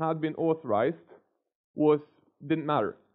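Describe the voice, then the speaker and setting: A man speaks over a quiet background. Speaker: conference speaker. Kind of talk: lecture. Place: hall. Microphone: headset.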